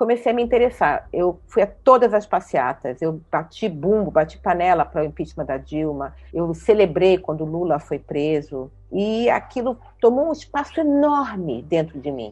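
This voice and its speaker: Her pitch swinging very widely, a woman speaks at a moderate pace with hardly any pauses. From Rio de Janeiro, Brazil. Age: 60s. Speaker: city councillor. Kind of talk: interview.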